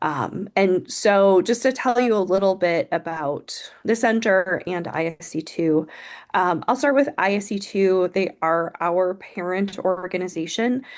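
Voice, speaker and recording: In an ordinary speaking voice, a woman talks at a fairly slow pace with medium pitch and ordinary pitch variation against a quiet background. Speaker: nonprofit program presenter. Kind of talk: webinar presentation.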